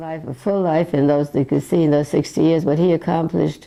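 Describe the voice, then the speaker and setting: Vocal fry colors a dark, mellow tone that moves at a fairly quick pace with ordinary pitch variation. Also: woman. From Eastern Europe. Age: 90s. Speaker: elderly sibling sharing memories. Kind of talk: interview reminiscence. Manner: halting.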